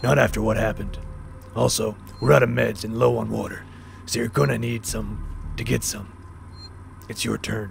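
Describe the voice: A man performs a put-on character voice with a raspy sound. He keeps a moderate pace over light background noise.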